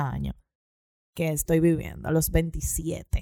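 A woman speaks at a fairly slow pace. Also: dry, close sound with no echo. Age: 20s. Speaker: podcast host. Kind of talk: casual chat.

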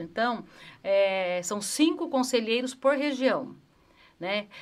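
A woman with a fairly high pitch and lively intonation has an unremarkable speaking voice. The recording is very clean, with a silent background. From Brazil, Campinas (Sousas). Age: 50s. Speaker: city councillor, former PE teacher. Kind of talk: interview chat.

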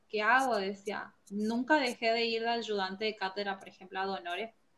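In a northeastern Argentine accent, a woman talks at a fairly slow pace. Her pitch is fairly high, with ordinary pitch variation. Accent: northeastern Argentine Spanish (voseo). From Argentina (Formosa). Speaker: forestry engineer. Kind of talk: interview. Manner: halting, many fillers and repetitions.

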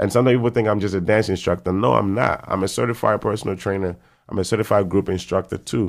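A man speaks very fast at a fairly low pitch with ordinary pitch variation. His loudness stays very even against a quiet background. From Ghana, Kumasi. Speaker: personal trainer and fitness instructor. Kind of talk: casual interview.

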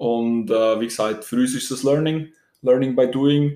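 A man speaks with a dark, mellow tone. His intonation is fairly even. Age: 20s. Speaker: student podcaster. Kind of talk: casual chat.

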